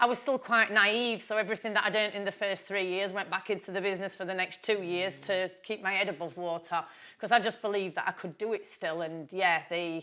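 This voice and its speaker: This woman talks loudly at a fairly quick pace with hardly any pauses, her tone bright and sharp and her pitch medium. Her intonation stays fairly even, and the recording is very clean with a silent background. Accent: Yorkshire. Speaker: businesswoman. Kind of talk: interview.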